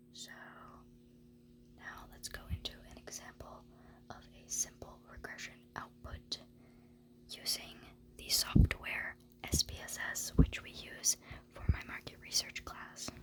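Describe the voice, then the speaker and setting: A woman whispers at a fairly slow pace with big swings in loudness. Noticeable background noise can be heard. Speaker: university student; ASMR creator. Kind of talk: ASMR study lecture walkthrough. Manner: soft-spoken.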